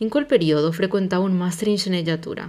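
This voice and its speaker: A woman speaks with a Paraguayan accent. The recording is very clean, with a silent background. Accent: Paraguayan Spanish accent in Italian. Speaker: podcaster. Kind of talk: personal monologue.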